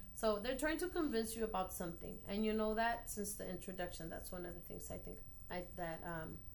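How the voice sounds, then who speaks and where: In a room with audible echo, a woman with a Spanish accent talks at a moderate pace with lively intonation and vocal fry. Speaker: elementary school teacher. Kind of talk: post-observation feedback conversation. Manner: halting, many fillers.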